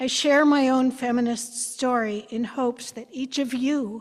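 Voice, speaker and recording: The woman's voice is high in pitch. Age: 70s. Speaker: church member sharing personal story. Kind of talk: prepared personal testimony. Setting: church.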